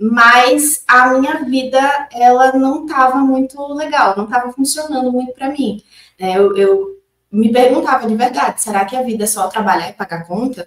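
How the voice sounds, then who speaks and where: Here a woman speaks in a high voice at a moderate pace. Her pitch varies in an ordinary way. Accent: northeastern Brazilian. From Northeast Brazil, Maceió, Alagoas. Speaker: consciousness-tools facilitator. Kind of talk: interview.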